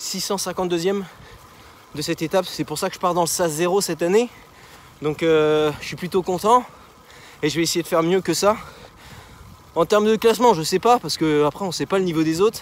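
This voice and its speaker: A man with a high pitch speaks at a fairly quick pace with ordinary pitch variation and long, frequent pauses, over noticeable background noise. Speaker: amateur cyclist vlogger. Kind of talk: vlog while riding. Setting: outdoors on a bike. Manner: hesitant, many fillers.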